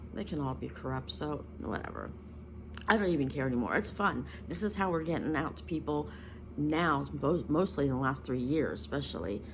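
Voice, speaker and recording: The woman talks fairly quickly. Her words carry audible echo from the room. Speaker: spiritual content creator. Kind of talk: casual vlog monologue. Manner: halting, many ums and self-corrections.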